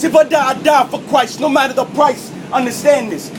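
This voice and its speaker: A loud man with an American accent and an extremely high pitch, at a moderate pace, over noticeable background noise. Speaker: spoken word poet. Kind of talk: spoken word performance. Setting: subway car.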